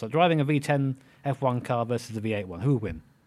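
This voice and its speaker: Words come very fast from this man. He has an English accent. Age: 30s. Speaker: content creator and racing driver. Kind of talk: interview.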